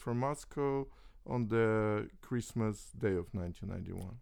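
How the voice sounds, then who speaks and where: At a very slow pace, a man with a medium-pitched voice speaks. His pitch varies in an ordinary way. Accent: Russian. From Soviet Union (Russia). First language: Russian. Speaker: chess grandmaster. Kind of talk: interview. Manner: halting.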